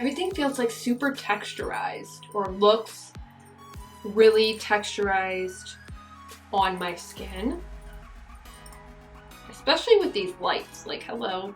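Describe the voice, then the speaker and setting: A woman speaks with long, frequent pauses while music plays in the background. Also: fairly slow pace. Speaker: beauty vlogger. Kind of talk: casual talk to camera.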